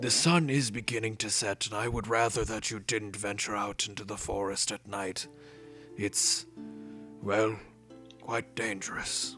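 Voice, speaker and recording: A man does a put-on character voice that is raspy and fairly low, at a moderate pace. He leaves long, frequent pauses, and clear music plays in the background. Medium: actual play. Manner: formal, courteous.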